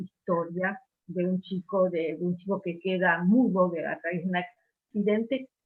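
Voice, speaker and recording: At a fairly slow pace, a woman speaks at a medium pitch in an unremarkable speaking voice. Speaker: book club member. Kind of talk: book club discussion. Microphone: unstable internet connection.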